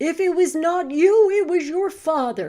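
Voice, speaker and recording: A woman's put-on character voice, extremely high-pitched and growling, at a moderate pace. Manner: snarling.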